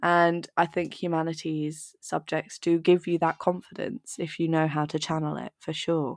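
A woman's fairly low voice in a southern English accent, with hardly any pauses and a dry, close sound with no echo. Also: moderate pace. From southern England, Dorset. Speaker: university student, seminar organizer. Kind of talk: casual chat. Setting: video call. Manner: animated.

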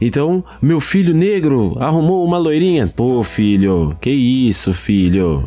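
Here a man speaks at a very slow pace. His pitch swings very widely. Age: 30s. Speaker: podcast host. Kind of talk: casual chat. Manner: animated.

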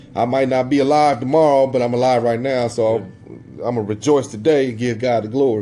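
Talking at a very fast pace with fairly even intonation, a man at medium pitch is heard through noticeable background noise. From US Midwest, southern Illinois near St. Louis. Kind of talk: casual religious discussion. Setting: podcast recording, live.

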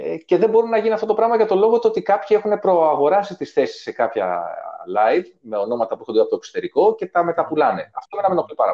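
Speaking very quickly, a man lets his volume rise and fall sharply. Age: 40s. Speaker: musician. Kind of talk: casual chat.

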